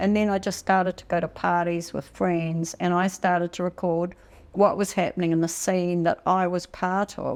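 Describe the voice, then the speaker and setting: A medium-pitched woman's voice with a New Zealand accent at a moderate pace, in a very clean recording with a silent background. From New Zealand, Taranaki. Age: 60s. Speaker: photographer. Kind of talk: interview. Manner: halting.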